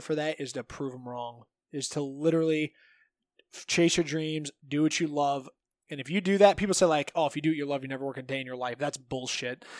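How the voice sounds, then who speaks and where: A man with a Midwestern American accent, fairly high pitch, fairly even intonation and big swings in loudness, on a very clean recording with a silent background and a dry, close sound with no echo. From Northeast Ohio. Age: 30s. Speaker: jiu-jitsu coach and gym owner. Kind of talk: casual chat.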